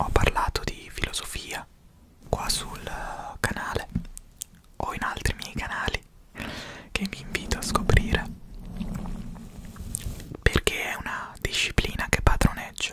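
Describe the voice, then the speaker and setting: A soft-spoken man talks at a fairly slow pace with long, frequent pauses, his dry voice carrying no echo over loud background noise. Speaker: philosophy content creator. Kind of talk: soft-spoken ASMR storytelling. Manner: soft, hushed ASMR speaking close to mic. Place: home room. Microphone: studio mic.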